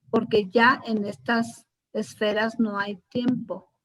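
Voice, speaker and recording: A woman with fairly high pitch and a somewhat breathy sound. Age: 70s. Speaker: spiritual course teacher. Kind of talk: class discussion.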